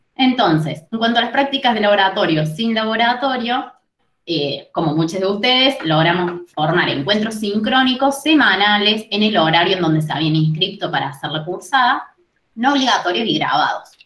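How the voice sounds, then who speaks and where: A woman's medium-pitched voice at a moderate pace, with very wide pitch swings, audible room echo and a quiet background. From Argentina. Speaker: university chemistry lecturer. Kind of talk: presentation. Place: home room. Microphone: webcam.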